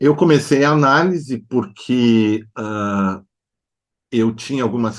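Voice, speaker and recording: A man speaks at a very slow pace with ordinary pitch variation over a quiet background. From southern Brazil (Novo Hamburgo, Rio Grande do Sul). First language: German (speaking Portuguese). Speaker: psychoanalyst and artist. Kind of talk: interview. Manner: hesitant with filler sounds.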